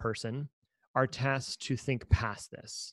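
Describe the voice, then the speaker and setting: A man's medium-pitched voice, very slow, with ordinary pitch variation and a dry, close sound free of echo. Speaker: podcast host at a design agency. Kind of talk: casual chat. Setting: remote recording. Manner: loud; animated.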